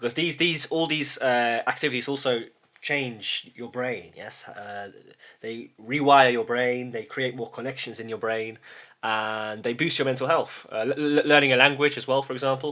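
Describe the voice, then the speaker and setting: With a British accent, a man uses a bright, sharp tone at medium pitch, keeping a moderate pace and fairly even intonation amid big swings in loudness. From UK, Polish family. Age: 30s. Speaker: YouTuber. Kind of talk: casual monologue. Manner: halting, many repetitions and false starts.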